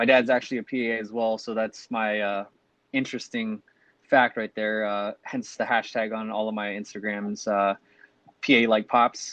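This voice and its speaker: Speaking with a Californian accent, a man talks at a moderate pace and medium pitch in a dry, close recording with no echo. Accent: Californian American. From Long Beach, California. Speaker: physician assistant student, podcast co-host. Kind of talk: casual podcast chat.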